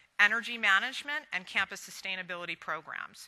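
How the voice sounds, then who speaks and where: Bright and sharp in tone, a woman with an American accent talks at a fairly quick pace with ordinary pitch variation. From Virginia. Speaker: conference moderator. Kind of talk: speaker introductions. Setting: stage with audience.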